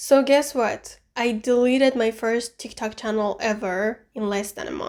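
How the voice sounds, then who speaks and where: A woman with an Iranian accent talks at a fairly slow pace, her pitch fairly high and her intonation fairly even. The recording is very clean, with a silent background. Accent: Iranian (Persian) accent in English. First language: Persian. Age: 20s. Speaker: booktuber and vlogger. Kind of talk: personal vlog narration; book review clips. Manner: halting.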